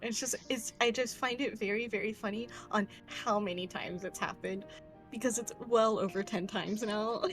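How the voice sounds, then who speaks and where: A woman's fairly high voice in an amused tone at a fairly quick pace, with music in the background. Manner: casual, amused.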